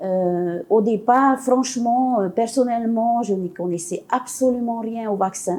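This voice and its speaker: The tone is dark and mellow, with ordinary pitch variation. Delivery is very slow, with hardly any pauses. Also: woman, fairly high pitch for a woman. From French Polynesia. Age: 70s. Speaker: women's collective founder, activist. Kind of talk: interview testimony. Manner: hesitant, many fillers.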